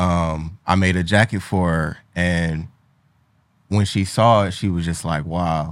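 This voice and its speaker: A man talks in a very deep, low voice with flat, monotone intonation. He speaks fairly slowly on a very clean recording with a silent background. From Cleveland, Ohio. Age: 20s. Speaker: fashion designer and entrepreneur. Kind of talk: casual interview.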